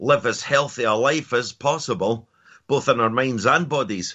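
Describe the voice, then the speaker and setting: This man speaks with a Scottish accent and ordinary pitch variation. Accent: Scottish (Edinburgh area). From Scotland, near Edinburgh. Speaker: mindset and performance coach. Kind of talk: interview.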